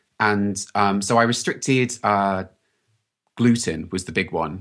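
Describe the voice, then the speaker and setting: A man speaks at a fairly low pitch with fairly even intonation against a quiet background. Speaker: health practitioner. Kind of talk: casual interview.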